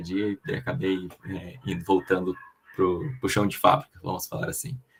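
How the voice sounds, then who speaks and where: Fairly low-pitched male voice at a fairly slow pace, with lively intonation. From southern Brazil (Paraná / Rio Grande do Sul). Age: 30s. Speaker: production planning and supply chain professional, guest speaker. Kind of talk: online lecture presentation. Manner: hesitant, with frequent fillers and repetitions.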